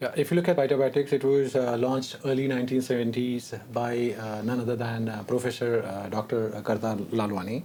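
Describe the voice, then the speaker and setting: With a dark, mellow tone, a man talks at a fairly quick pace with ordinary pitch variation. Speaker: corporate executive. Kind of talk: panel discussion. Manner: hesitant, many fillers.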